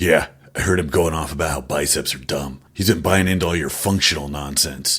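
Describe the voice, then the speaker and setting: A man's raspy, cartoonish character voice, very deep and low, at a fairly quick pace. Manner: brash, crude, teasing.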